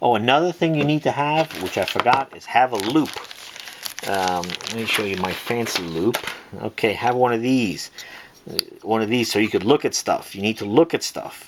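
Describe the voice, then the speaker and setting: Noticeable background noise sits behind a man talking at a moderate pace. His medium-pitched voice has lively intonation. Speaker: watch and pencil holder maker, online seller. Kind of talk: tutorial. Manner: casual, filler-heavy.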